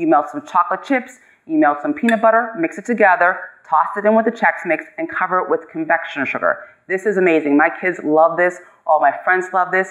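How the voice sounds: A woman speaks at a fairly quick pace with few pauses, her pitch fairly low. Her pitch variation is ordinary.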